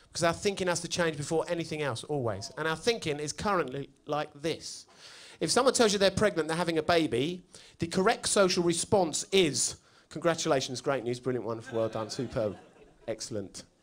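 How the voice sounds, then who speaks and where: The speaker talks at a fairly quick pace with very wide pitch swings. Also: man, fairly high pitch for a man. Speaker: stand-up comedian. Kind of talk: stand-up comedy set.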